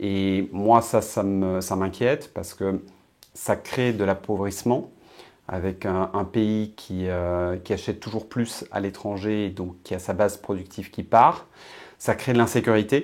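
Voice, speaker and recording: A man talks at a fairly slow pace. His pitch is fairly low and his intonation fairly even. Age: 50s. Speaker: political essayist and blogger. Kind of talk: interview. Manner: hesitant with frequent fillers.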